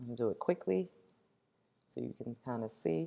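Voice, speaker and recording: A woman is speaking. Her tone is dark and mellow. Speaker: teacher. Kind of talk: tutorial. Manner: fast.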